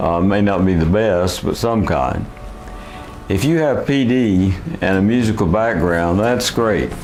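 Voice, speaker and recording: With music in the background and audible room echo, a man speaks at a fairly slow pace and a fairly low pitch, his loudness very even. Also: ordinary pitch variation. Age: 70s. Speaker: person with Parkinson's sharing experience. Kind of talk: video blog talk to camera.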